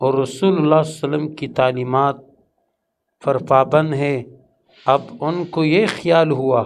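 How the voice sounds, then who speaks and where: A man with a fairly high pitch speaks in a plain, everyday voice with fairly even intonation. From Pashtun. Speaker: Islamic scholar. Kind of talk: religious lecture.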